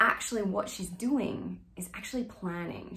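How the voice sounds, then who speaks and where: An ordinary speaking voice from a woman, fairly low in pitch, fairly slow, with fairly even intonation. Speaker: acting coach. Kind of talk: tutorial explaining a monologue. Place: home room. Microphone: phone near.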